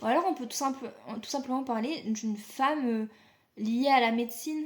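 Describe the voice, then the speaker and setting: A woman talks at a moderate pace in a high voice, her pitch varying in an ordinary way. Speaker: tarot reader. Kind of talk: tarot reading. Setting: video recording. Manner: casual, hesitant.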